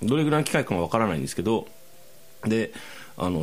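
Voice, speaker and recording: A man's pitch swings very widely, captured in a very clean recording against a silent background. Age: 40s. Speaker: podcast host. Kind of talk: casual chat.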